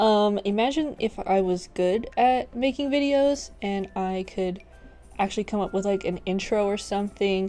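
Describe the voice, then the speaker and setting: Over music in the background, a woman talks at a fairly slow pace with a fairly high pitch and lively intonation. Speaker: gaming YouTuber. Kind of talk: casual gameplay commentary. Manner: hesitant, many fillers.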